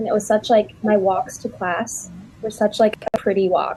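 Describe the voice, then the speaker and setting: Against noticeable background noise, a woman with an American accent talks at a fairly quick pace with fairly even intonation. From US. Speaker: study abroad alumna. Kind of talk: panel discussion. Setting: livestream.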